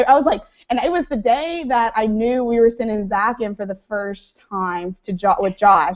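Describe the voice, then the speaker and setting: Speaking with an American accent, a woman uses a fairly high pitch, lively intonation and an animated tone at a moderate pace. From Mississippi, US South. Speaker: former reality show contestant. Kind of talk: casual chat.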